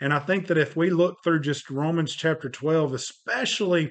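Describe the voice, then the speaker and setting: A man with an American accent and fairly even intonation, against a quiet background. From Northwest Georgia, US South. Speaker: evangelist, podcast co-host.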